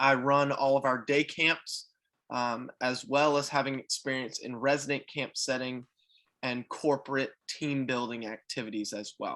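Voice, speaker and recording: A man with an American accent has a bright, sharp tone. He speaks fairly slowly in a fairly high pitch. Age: 20s. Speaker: youth camp coordinator. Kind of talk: video call introduction.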